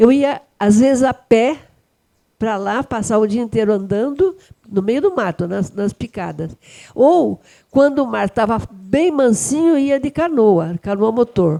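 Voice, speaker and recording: Very wide pitch swings mark this dark, mellow voice, which moves at a fairly slow pace in a dry, close recording with no echo that is very clean, with a silent background. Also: woman, fairly high pitch for a woman. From Brazil, São Paulo coast (caiçara). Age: 80s+. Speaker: retired teacher and author. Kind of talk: storytelling.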